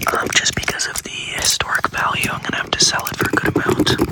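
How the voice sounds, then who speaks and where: Whispering in an American accent, a man speaks over noticeable background noise. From United States. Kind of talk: improvised ASMR thrift store roleplay, casual talk to camera. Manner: casual, joking, deadpan, with fillers.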